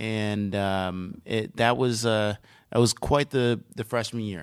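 A man speaks at a fairly slow pace in a medium pitch, with an ordinary speaking voice. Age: 30s. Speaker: fitness center director. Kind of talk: casual interview. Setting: studio.

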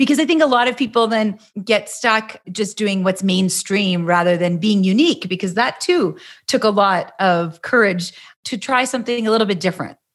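In a very clean recording with a silent background, a woman with a Canadian accent speaks at a moderate pace. She has a normal speaking voice, fairly high in pitch, with lively intonation. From Canada. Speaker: podcast host. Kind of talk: interview.

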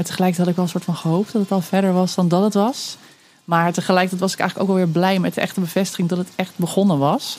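A woman's very fast speech at a medium pitch, with fairly even intonation and very even loudness. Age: 30s. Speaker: storyteller and mother sharing birth story. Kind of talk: personal testimony interview. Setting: outdoors under a veranda.

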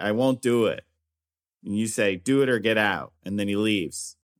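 A man with an American accent speaks at a moderate pace in an ordinary speaking voice. His pitch variation is ordinary, and the recording is very clean with a silent background. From US Midwest, northern Indiana. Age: 40s. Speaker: comedian. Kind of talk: casual chat.

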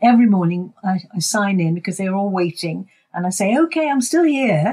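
A woman with a dark, mellow tone speaks at a moderate pace, sounding somewhat breathy. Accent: British. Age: 80s. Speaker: community volunteer and radio presenter. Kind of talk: casual interview.

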